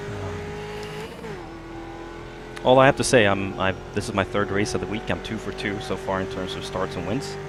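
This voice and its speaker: Quietly, a man talks amid noticeable background noise and audible room echo. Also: moderate pace. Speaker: sim racing video creator. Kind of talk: live gameplay commentary. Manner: quiet, focused.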